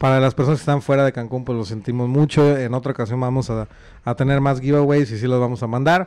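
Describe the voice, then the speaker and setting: Delivering his words very fast, a man keeps a fairly even intonation. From Monterrey, Mexico; Mexico. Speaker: podcast host. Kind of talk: casual chat. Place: home room. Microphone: studio mic.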